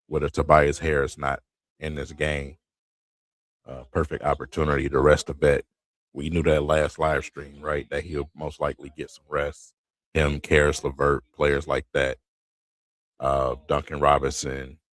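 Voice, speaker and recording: A quiet man's voice, very deep and low with vocal fry, monotone and flat, at a moderate pace with long, frequent pauses, big swings in loudness, and a dry, close sound with no echo. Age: 40s. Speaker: sports streamer. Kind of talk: live game commentary.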